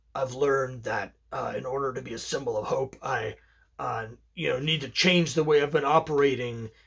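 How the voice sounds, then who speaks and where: A raspy, put-on character voice at a low-to-middle pitch. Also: moderate pace. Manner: brooding, earnest.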